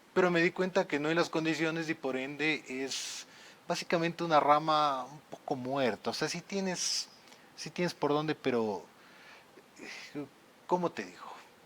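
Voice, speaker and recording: In a Quito accent, a man with a fairly high pitch and ordinary pitch variation speaks at a moderate pace, with big swings in loudness and long, frequent pauses. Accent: Quito Ecuadorian Spanish. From Ecuador, Quito (Tumbaco). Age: 30s. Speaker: lawyer and content creator. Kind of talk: podcast interview.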